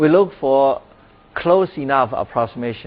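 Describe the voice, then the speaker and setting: With a Chinese accent, a man speaks at a fairly high pitch and fairly slow pace, his pitch swinging very widely. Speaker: professor. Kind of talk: lecture. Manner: halting, with many fillers.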